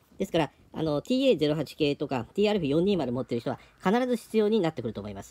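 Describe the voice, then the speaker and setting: With a dark, mellow tone, a man speaks at a fairly high pitch and moderate pace, his pitch swinging very widely and his loudness shifting a lot. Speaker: hobby shop staff presenting products. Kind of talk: product presentation. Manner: halting, many fillers. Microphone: phone near.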